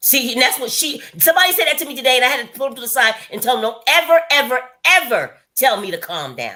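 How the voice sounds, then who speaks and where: A woman's high, raised and projected voice at a very fast pace, with big swings in loudness. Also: lively intonation. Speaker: lifestyle vlogger hosting a live stream. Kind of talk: casual chat. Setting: live stream. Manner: varying pitch when explaining.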